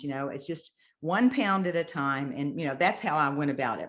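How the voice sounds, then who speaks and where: Lively intonation marks a woman's plain, everyday voice, delivered at a moderate pace. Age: 60s. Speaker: bodybuilder. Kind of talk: interview answer.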